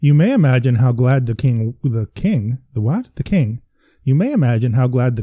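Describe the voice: This is straightforward reading out loud. The intonation is lively.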